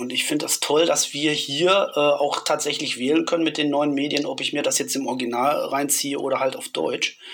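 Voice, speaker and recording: Someone speaks at a moderate pace with hardly any pauses over noticeable background noise. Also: man. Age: 50s. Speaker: horror film author and interviewer. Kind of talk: casual chat.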